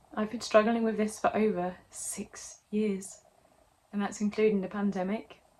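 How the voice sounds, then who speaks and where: Somewhat breathy, a woman speaks fairly slowly in a monotone, flat intonation. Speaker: actor and singer. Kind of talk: casual talk to camera.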